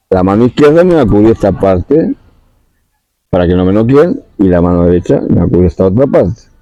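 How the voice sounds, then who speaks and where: A man talks at a fairly quick pace with a fairly low voice, making very wide pitch swings at very even loudness. Long, frequent pauses break it up, and the sound is dry and close with no echo. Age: 60s. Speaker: spiritual talk host. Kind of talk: monologue talk.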